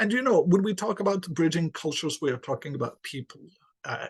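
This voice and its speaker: With an Arabic accent, a man speaks in a fairly high pitch and lively intonation. The sound is dry and close with no echo, over a quiet background. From Yemen. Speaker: English lecturer. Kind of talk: podcast interview.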